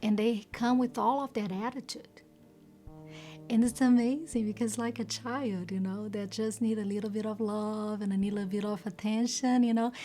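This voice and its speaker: A woman with a non-native accent, a dark, mellow tone and a fairly high pitch, somewhat breathy, at a moderate pace with fairly even intonation. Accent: foreign. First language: not English. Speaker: volunteer. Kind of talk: interview testimony.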